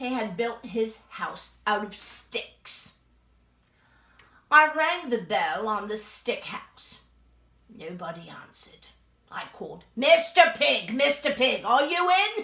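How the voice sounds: Putting on a character voice, a woman speaks high with very wide pitch swings. She goes at a fairly slow pace with long, frequent pauses.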